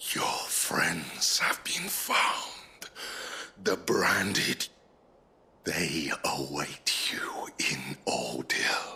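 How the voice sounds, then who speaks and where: Growling in a put-on character voice, the speaker goes very slowly with long, frequent pauses. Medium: video game.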